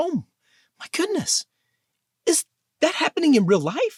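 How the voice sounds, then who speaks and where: Putting on a squeaky character voice, a man speaks at an extremely high pitch and a moderate pace. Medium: read story.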